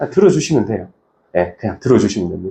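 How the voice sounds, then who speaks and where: There is vocal fry in this man's voice. His pitch swings very widely. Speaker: insurance branch manager presenting. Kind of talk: presentation to colleagues. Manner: fast.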